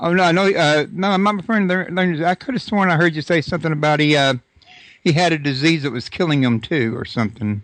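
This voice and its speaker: A man with a Texas accent, a fairly high pitch, lively intonation and a very fast pace. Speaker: radio host. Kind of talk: interview.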